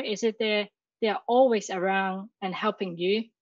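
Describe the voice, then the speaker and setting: A woman with a Chinese accent at a fairly high pitch, moderate pace and ordinary pitch variation, dry and close with no echo against a quiet background. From Hong Kong. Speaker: university graduate. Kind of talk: interview. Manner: halting.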